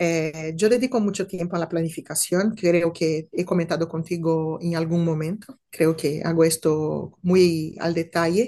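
A woman with a Brazilian accent speaks at a fairly slow pace. Her voice is fairly low, dark and mellow, with fairly even intonation. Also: hardly any pauses. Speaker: compliance officer. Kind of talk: interview.

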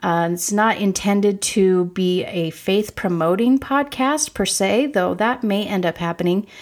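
A woman's medium-pitched voice with ordinary pitch variation, fairly slow and with hardly any pauses, on a very clean recording with a silent background. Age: 40s. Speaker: podcast host. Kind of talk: solo introductory monologue.

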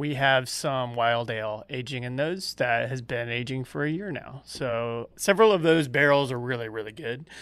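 A man with an American accent and a normal speaking voice, medium pitch, ordinary pitch variation and moderate pace, on a very clean recording with a silent background. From Georgia, US South. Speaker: brewmaster. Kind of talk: casual interview chat.

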